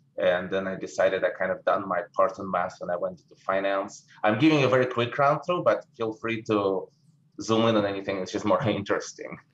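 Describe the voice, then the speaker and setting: A man with a Russian accent talks at a fairly quick pace with big swings in loudness. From Russia, St. Petersburg. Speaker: investment manager. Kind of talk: interview.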